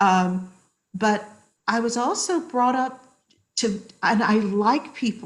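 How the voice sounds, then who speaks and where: In an American accent, a woman speaks very slowly and somewhat breathily, with lively intonation and very even loudness. Her pauses are long and frequent. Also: fairly high pitch for a woman. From US, military upbringing in various places. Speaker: social psychologist. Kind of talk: podcast interview.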